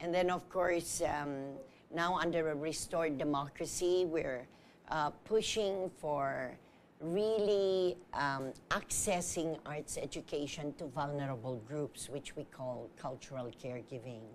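Over light background noise, a woman with a very deep, low voice speaks fairly slowly with ordinary pitch variation. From Philippines. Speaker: theater artist and arts educator; arts educator. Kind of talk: TV talk show interview. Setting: TV studio. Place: studio.

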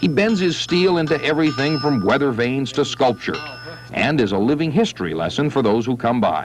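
A man talks at a fairly quick pace in a dry sound with no echo. Faint music plays in the background. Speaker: TV news reporter narrator. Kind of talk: news feature narration.

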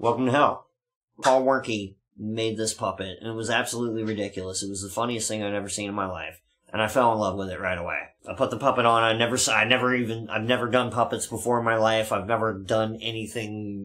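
Very fast and bright, sharp in tone, a man's voice holds a fairly even intonation. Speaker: show host. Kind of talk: casual storytelling chat. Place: studio.

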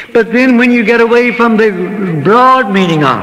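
A man speaks in a raised, projected voice. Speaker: preacher. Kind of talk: sermon. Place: church. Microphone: old recording.

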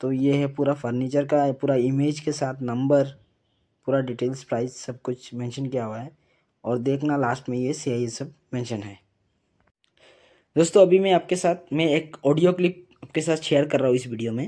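Against a quiet background, a man speaks at a fairly slow pace in a dark, mellow tone with ordinary pitch variation. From Assam, India. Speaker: vlogger warning about a scam. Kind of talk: casual vlog talk to camera. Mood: earnest warning.

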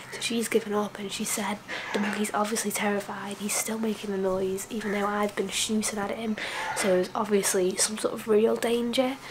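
A woman speaks at a moderate pace in a monotone, flat intonation. Noticeable background noise can be heard. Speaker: travel vlogger. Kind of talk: casual vlog chat. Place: home room. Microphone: phone near.

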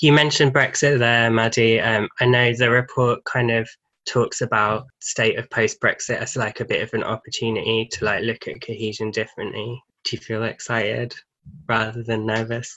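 Here a man speaks with a British accent at a moderate pace. His intonation stays monotone and flat over a quiet background. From England. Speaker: charity programme manager and podcast host; podcast host. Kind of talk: panel discussion. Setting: video call. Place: home room. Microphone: video call.

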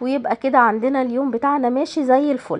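A woman speaks with an Egyptian accent. Her pitch is high. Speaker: home lifestyle vlogger. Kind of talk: vlog voice-over. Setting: at home.

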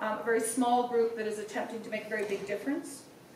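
In audible room echo with light background noise, a woman speaks in a fairly even intonation. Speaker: host introducing a speaker. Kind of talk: formal speaker introduction. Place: hall.

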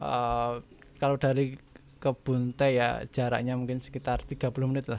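A man at a fairly slow pace, in a monotone with flat intonation. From Yogyakarta region, Indonesia; Indonesia. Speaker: primary school teacher and rabbit farmer; primary school teacher, rabbit farmer. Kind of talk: casual interview chat. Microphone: studio mic.

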